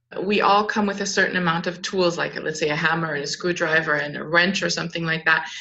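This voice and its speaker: A woman's voice over noticeable background noise. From Southern California, later Luxembourg, France and Germany. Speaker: clinical psychologist and startup founder. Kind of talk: interview.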